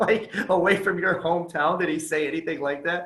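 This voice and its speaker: Audible room echo surrounds a man speaking at a high pitch with fairly even intonation and a moderate pace. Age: 30s. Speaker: podcast host. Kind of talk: casual interview chat. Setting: video call.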